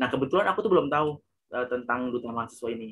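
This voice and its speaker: Here is a man with a medium-pitched voice. His pitch varies in an ordinary way. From Ambon, Maluku, Indonesia. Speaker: award-winning university student. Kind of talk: casual interview.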